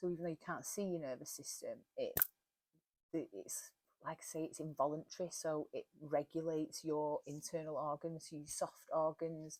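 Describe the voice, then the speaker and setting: With a Cheshire accent, a woman talks at a moderate pace in a dry, close recording with no echo. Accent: broad Warrington. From northern England, Warrington. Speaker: wellness podcaster. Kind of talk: casual talk.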